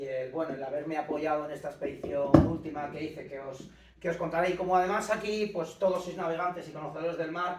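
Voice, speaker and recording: Noticeable background noise and audible room echo surround a man speaking very fast at a fairly high pitch. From Castile, Spain (Íscar, Valladolid). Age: 50s. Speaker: ocean rower and adventurer. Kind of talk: lecture. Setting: conference room with small audience, no microphone. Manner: loud, half shouting.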